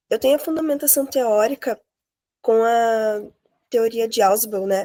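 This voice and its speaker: On a very clean recording with a silent background, a woman speaks in a high pitch with a dark, mellow tone. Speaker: master's student presenter. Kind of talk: academic presentation.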